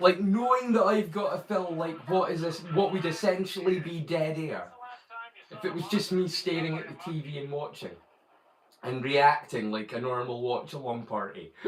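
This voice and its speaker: With a Scottish accent and a high pitch, a man talks at a moderate pace with lively intonation and big swings in loudness over noticeable background noise. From Scotland. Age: 40s. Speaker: live streamer. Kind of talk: casual chat. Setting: live stream. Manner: animated.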